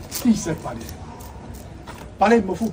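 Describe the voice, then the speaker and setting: A man's pitch moves in an ordinary way while noticeable noise sits behind him. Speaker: street performer. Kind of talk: live street theatre monologue. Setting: outdoors.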